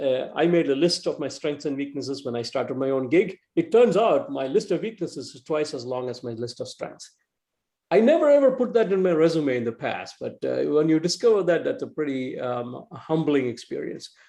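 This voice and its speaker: Speaking with an Indian accent, a man uses a high voice with very wide pitch swings. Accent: East Indian. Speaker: entrepreneur and tech executive. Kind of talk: talk to a club meeting. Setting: video call. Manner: fast; halting, many fillers and repeats.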